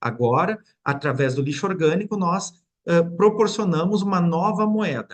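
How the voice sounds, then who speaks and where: The man's pitch sits high, with lively intonation. He speaks at a moderate pace. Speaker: mayor. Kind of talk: webinar presentation. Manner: halting, with repetitions and fillers.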